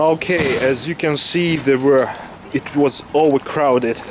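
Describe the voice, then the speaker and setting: With a Russian accent and fairly even intonation, a man speaks over noticeable background noise. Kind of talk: casual walking-tour talk to camera. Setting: outdoors.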